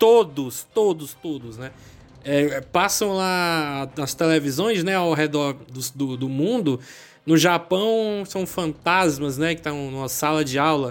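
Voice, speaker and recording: Very slow delivery with ordinary pitch variation. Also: man, fairly high pitch for a man. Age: 20s. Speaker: podcast host. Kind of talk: casual chat.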